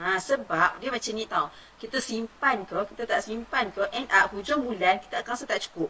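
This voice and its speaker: Over noticeable background noise, a woman with a Malaysian accent speaks at a moderate pace in a fairly high pitch with lively intonation. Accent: Malaysian Malay. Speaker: former pharmacist, gold-savings educator. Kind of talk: live-stream talk on Facebook. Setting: home studio live stream. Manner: casual, chatty.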